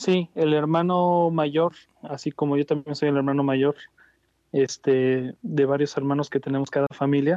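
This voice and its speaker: Here is a plain, everyday voice at a fairly slow pace. Its intonation stays fairly even. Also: man, fairly high pitch for a man. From Mexico, Jalisco (Ciudad Guzmán). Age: 30s. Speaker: flamenco guitarist. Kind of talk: interview.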